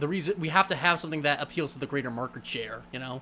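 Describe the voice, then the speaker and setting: A man talks in a fairly high register, and his pitch moves with ordinary variation. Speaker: livestream host. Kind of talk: casual chat. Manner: fast.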